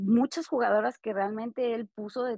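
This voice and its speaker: A woman speaks at a fairly slow pace. She varies her pitch in an ordinary way. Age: 30s. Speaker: podcast co-host. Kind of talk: casual chat. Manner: hesitant, many fillers.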